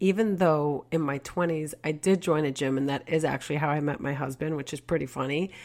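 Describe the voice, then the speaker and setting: Very deep and low in pitch, a woman talks fairly quickly with lively intonation, in a New York accent. The recording is very clean with a silent background. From Queens, New York. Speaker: podcast host and real estate agent. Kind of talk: casual monologue.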